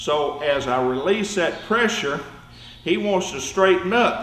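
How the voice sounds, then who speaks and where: A man speaks in a high voice with a Southern US accent. The room echoes audibly, and background noise is noticeable. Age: 70s. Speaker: judo instructor. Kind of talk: tutorial. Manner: repetitive, demonstrative.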